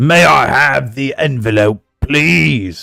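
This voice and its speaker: Using a put-on character voice, a man at a medium pitch speaks very slowly with very wide pitch swings. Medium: actual play. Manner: ceremonious, showy.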